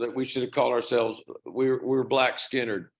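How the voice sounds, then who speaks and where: A man in a Southern US accent talks at a very fast pace with a medium pitch. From US South. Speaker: rock band singer. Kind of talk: interview.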